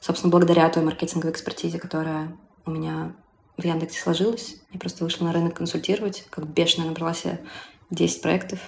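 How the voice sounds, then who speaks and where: Very fast speech from a woman with a fairly low pitch and fairly even intonation. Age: 30s. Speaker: singer-songwriter, former marketer. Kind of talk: interview.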